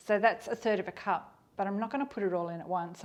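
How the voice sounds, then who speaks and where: A woman speaks with an Australian accent and vocal fry. Her pitch is medium, with ordinary variation. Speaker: cooking youtuber. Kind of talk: cooking tutorial. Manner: fast; casual.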